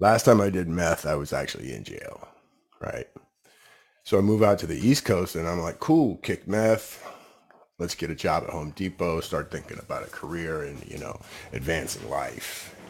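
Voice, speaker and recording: A man's very deep, low voice at a moderate pace, with lively intonation and big swings in loudness. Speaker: fitness coach in recovery. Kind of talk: testimony. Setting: studio.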